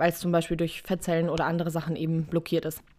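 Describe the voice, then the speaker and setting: Recorded very cleanly against a silent background, a woman speaks at a fairly low pitch. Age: 20s. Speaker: podcaster with type 1 diabetes. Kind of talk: casual solo talk. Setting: home recording with cushion and blanket.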